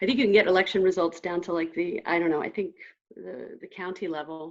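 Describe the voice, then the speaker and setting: Talking at a very fast pace, a woman with a fairly low pitch makes big swings in loudness. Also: ordinary pitch variation. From United States. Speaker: session chair, economics academic. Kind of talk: Q&A moderation.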